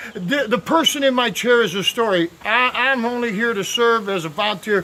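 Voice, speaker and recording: Speaking at a moderate pace, a man raises and projects his extremely high-pitched voice. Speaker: volunteer barber and video blogger. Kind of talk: casual storytelling. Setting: outdoors. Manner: loud; halting, many fillers.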